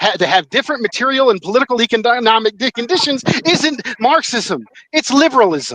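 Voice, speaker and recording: An animated, fairly quick voice in an American accent, lively in intonation, with a dry, close sound with no echo and noticeable background noise. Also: man. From North Carolina. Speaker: political commentator. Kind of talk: heated debate.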